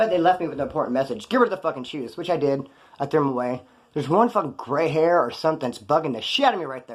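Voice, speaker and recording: This man talks at a very fast pace in a fairly high pitch. His intonation is lively and his tone animated. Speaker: former prisoner youtuber. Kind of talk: casual storytelling monologue.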